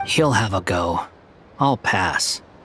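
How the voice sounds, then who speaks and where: In a put-on character voice, a man sounds raspy. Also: fairly low pitch for a man. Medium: video game. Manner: curt, dry, sighing.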